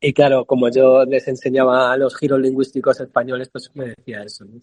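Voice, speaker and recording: In a Madrid accent, a man talks at a medium pitch with monotone, flat intonation and big swings in loudness. The sound is dry and close with no echo. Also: fairly quick pace. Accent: Castilian Spanish (Madrid). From Spain, Madrid (San Sebastián de los Reyes). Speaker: poet and multidisciplinary artist. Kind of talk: interview conversation. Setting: video call from a café. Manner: hesitant, with repetitions.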